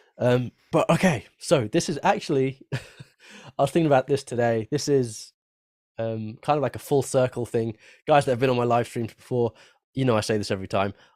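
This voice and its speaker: In an unremarkable speaking voice, a man talks at a moderate pace and medium pitch with ordinary pitch variation, recorded dry and close with no echo on a very clean, silent background. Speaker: guitar educator, live stream host. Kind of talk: live stream chat.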